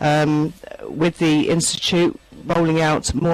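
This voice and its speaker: With noticeable background noise behind her, a woman with a London accent speaks in a very deep, low voice and a monotone, flat intonation. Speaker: online therapy trainer. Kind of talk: panel introduction in online town hall. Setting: virtual meeting.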